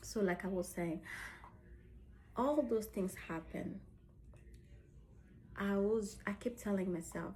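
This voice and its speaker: A woman speaks with a dark, mellow tone, some vocal fry and ordinary pitch variation. Her speech has long, frequent pauses. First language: French. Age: 30s. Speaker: lifestyle vlogger. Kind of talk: personal vlog. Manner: halting.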